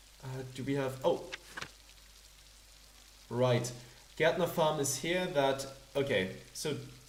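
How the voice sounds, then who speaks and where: Amid noticeable background noise, a man with a fairly high pitch and ordinary pitch variation speaks at a very slow pace with long, frequent pauses. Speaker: let's play gamer. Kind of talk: casual gameplay commentary.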